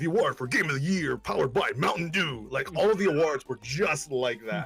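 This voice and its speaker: A man's fairly high, lively voice at a fairly quick pace over noticeable background noise. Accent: American. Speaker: gaming podcast co-host. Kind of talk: casual panel chat.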